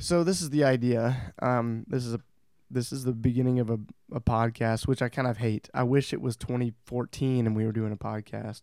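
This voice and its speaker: Recorded dry and close with no echo, a man speaks at a moderate pace in a medium-pitched voice with a dark, mellow tone. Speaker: podcast host. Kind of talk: casual chat. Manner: halting.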